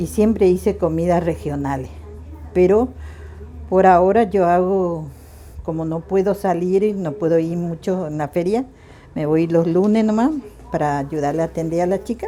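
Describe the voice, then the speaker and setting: A woman speaks at a fairly low pitch and moderate pace, with ordinary pitch variation. She leaves long, frequent pauses. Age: 60s. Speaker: home cook and market vendor. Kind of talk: casual interview talk.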